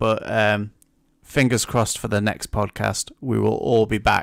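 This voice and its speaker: At a fairly slow pace, a man with a plain, everyday voice speaks at medium pitch, the sound dry and close with no echo. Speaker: podcast host. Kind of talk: casual chat.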